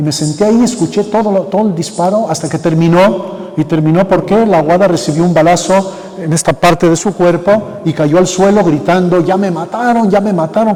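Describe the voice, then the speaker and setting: Moderate pace with hardly any pauses, over noticeable background noise. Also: man, high pitch for a man. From Mexico, Michoacán (Sahuayo area). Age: 70s. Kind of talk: conference talk. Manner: halting.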